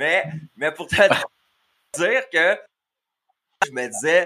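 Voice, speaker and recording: Bright and sharp in tone, a man talks at a fairly high pitch. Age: 30s. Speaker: podcast host. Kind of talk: casual chat. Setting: live video stream.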